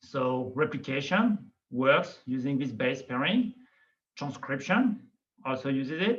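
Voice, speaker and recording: Lively intonation marks a man's fairly high-pitched voice with a slight non-native accent. He speaks at a fairly slow pace. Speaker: biology professor. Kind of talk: lecture. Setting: video call.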